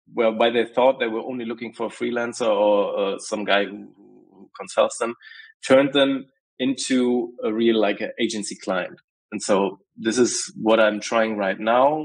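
At a moderate pace, a man talks with fairly even intonation against a quiet background. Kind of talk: casual group call update. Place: home room. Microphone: earbuds.

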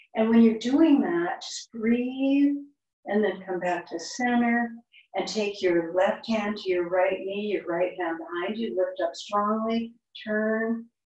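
A woman speaking very slowly, fairly high-pitched with lively intonation, audible room echo over a quiet background. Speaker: yoga instructor. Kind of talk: guided yoga class, step-by-step verbal cueing. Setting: online yoga class. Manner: calm, instructional, unhurried, gently encouraging. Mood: calm, gentle. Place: home room. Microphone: camera far.

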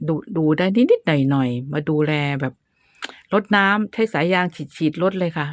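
A woman speaks in an ordinary speaking voice, fairly low in pitch with ordinary pitch variation. The sound is dry and close with no echo, over a quiet background. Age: 60s. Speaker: gardening YouTuber. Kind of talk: tutorial. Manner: casual, chatty.

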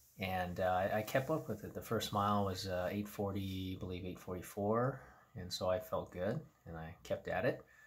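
Here a man talks at a fairly slow pace and fairly low pitch. His voice is somewhat breathy, with ordinary pitch variation. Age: 50s. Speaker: running vlogger. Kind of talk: casual vlog recap. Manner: hesitant with many fillers. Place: home room. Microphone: phone near.

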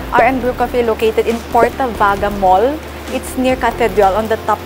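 Music plays behind a woman speaking at a fairly slow pace. Her intonation is fairly even. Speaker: vlogger. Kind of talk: casual vlog chat. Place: street. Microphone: lapel.

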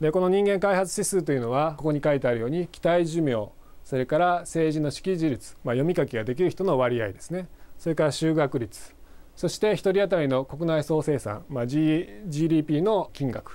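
This man's fairly high voice has a dark, mellow tone, ordinary pitch variation, and a moderate pace. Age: 40s. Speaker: university professor. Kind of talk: lecture. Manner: hesitant fillers.

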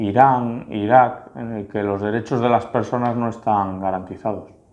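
Fairly even intonation carries speech delivered at a fairly slow pace. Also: man. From Spain, Santander (Cantabria); Spain. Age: 30s. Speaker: local politician. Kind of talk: interview answers; interview answer. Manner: halting, with fillers and repetitions. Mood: relaxed, reflective. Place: office. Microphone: lapel.

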